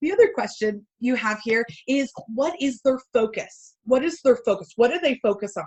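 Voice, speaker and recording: A woman speaks loudly at a moderate pace. Her high voice makes very wide pitch swings. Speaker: keynote speaker and sales coach. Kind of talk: webinar presentation. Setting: online webinar.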